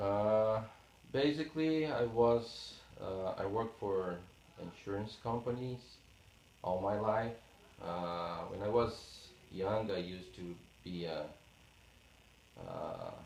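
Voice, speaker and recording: With a Portuguese accent and a fairly low voice, a man speaks at a very slow pace with long, frequent pauses and ordinary pitch variation, amid audible room echo and noticeable background noise. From Brazil, Paraná. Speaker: oral history interviewee. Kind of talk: interview. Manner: halting, many fillers.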